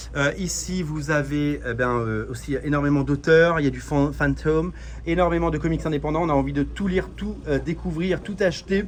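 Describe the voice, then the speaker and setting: There is noticeable background noise as a man delivers his words at a moderate pace. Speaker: comics youtuber. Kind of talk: vlog shop tour. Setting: in a comic shop. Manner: animated; hesitant with many fillers.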